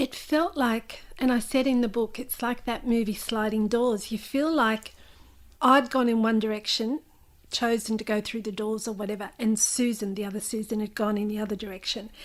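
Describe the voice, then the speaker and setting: Over a silent background in a very clean recording, a woman with an Australian accent talks at a moderate pace with fairly even intonation. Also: fairly high pitch for a woman. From Australia, New South Wales (Newcastle). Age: 50s. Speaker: memoir author. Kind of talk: interview.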